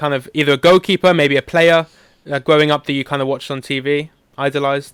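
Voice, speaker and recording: The sound is dry and close with no echo as a man speaks in a British accent. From UK. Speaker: podcast host. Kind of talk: podcast interview.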